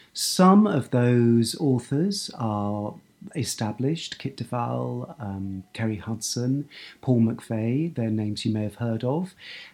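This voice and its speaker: A man with an English accent talks at a very slow pace, his intonation lively. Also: medium pitch for a man. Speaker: book editor and writer. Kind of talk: talk about own writing. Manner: halting, with fillers and repetitions.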